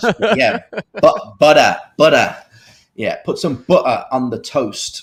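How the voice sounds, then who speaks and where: A man speaks with a Birmingham accent at a very slow pace. The recording is very clean, with a silent background. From Birmingham, England. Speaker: expat living in Thailand. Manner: says he is softening his accent to be understood.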